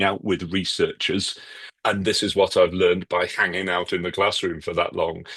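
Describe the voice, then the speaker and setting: A man with a British accent talks at a moderate pace in a very deep, low voice. The background is quiet. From UK. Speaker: author and educator. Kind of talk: podcast interview. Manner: conversational, with fillers.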